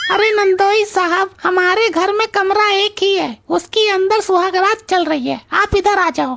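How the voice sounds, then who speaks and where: Using a put-on character voice at an extremely high pitch, a woman speaks at a moderate pace with ordinary pitch variation, very even loudness, and hardly any pauses. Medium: comedy sketch. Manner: brash, comic.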